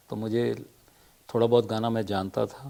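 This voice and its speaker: A man talks at a medium pitch with a dark, mellow tone. His intonation stays fairly even. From Madhya Pradesh, India. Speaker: playback singer. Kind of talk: interview. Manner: hesitant, with filler sounds.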